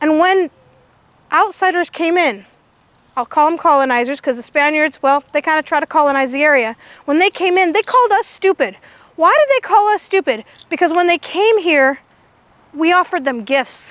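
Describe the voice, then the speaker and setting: A loud woman with an American accent speaks in an extremely high pitch at a moderate pace, her tone animated and her intonation lively. Long, frequent pauses break up her speech, and the sound is dry and close with no echo. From California, Indian Canyon near Hollister. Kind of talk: public talk.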